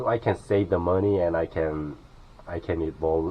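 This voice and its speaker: A man speaks with a Korean accent in a very deep, low voice. His intonation stays fairly even. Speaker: vlogger living in his car. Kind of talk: casual vlog tour. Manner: halting, many fillers.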